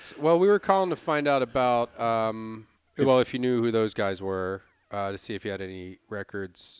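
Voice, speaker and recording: A man's medium-pitched voice at a moderate pace. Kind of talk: morning-radio DJ patter, mock traffic report with a crude joke, sign-off. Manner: breezy, jokey and animated, with a playful drive-time DJ cadence and easy laughter.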